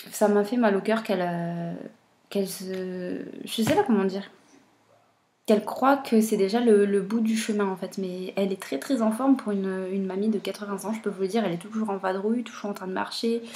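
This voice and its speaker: Quiet and dark, mellow in tone, a woman speaks at a fairly quick pace with fairly even intonation. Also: medium pitch for a woman. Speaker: booktuber. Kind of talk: casual vlog talk. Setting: at home, baby napping nearby. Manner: hesitant.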